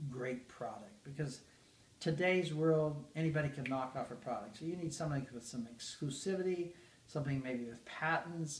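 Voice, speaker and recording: This man has an American accent and a fairly high pitch for a man, his voice somewhat breathy. He speaks at a moderate pace with ordinary pitch variation. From Idaho, US. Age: 70s. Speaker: network marketing executive. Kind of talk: interview.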